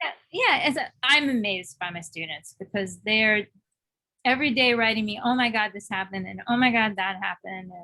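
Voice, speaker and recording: A woman with a New York accent, a bright, sharp tone, ordinary pitch variation, a fairly quick pace and big swings in loudness. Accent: heavy New York. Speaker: songwriter and music course teacher. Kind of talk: casual interview chat. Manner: fast.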